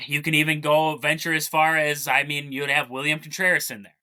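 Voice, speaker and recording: A man's voice, fairly high in pitch. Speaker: sports podcast host. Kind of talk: casual sports commentary talk.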